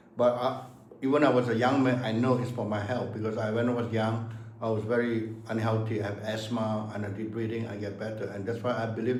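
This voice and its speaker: The man talks fairly quickly, with audible room echo and noticeable background noise around him. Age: 70s. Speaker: martial arts master. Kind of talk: casual chat. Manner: halting.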